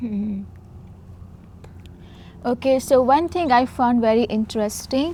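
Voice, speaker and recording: At a moderate pace, a woman speaks in a fairly high pitch with an Indian accent. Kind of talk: casual Q&A talk to camera.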